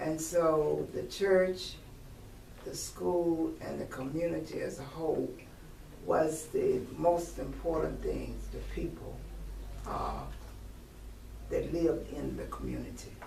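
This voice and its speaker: With a Virginia accent, a woman speaks at a very slow pace with long, frequent pauses. Audible room echo and noticeable background noise surround her voice. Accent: Southern US (Virginia). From US South, Virginia near Richmond. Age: 70s. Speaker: retired teacher. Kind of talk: oral history interview. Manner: hesitant, with frequent fillers.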